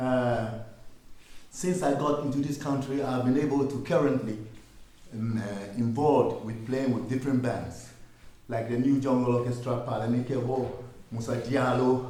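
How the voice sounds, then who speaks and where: Against audible room echo, a man talks at a moderate pace in a medium pitch with fairly even intonation. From Ghana. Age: 60s. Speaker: musician. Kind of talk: workshop talk.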